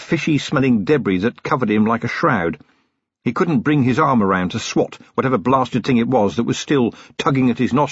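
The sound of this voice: The background is quiet. Over it, an unforced reading voice rises and falls with lively intonation.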